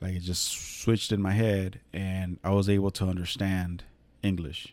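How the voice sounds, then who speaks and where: Fairly low in pitch, a man speaks with a dark, mellow tone and fairly even intonation. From California, Mexican-American family. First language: Spanish. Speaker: podcast host. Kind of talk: casual monologue. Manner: relaxed, many fillers.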